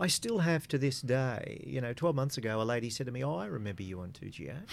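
Fairly quick, lively intonation from a man with an Australian accent and medium pitch, in a very clean recording with a silent background. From Australia, small country town. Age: 60s. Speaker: former radio executive and community board chair. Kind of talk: casual interview. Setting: radio studio.

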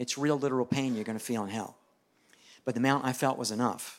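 A man's normal speaking voice at a medium pitch, with fairly even intonation, on a very clean recording with a silent background. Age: 60s. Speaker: evangelist preacher. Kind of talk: sermon.

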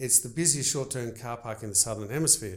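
The man speaks at medium pitch with ordinary pitch variation. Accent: Australian. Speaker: baker and business owner. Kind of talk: casual interview.

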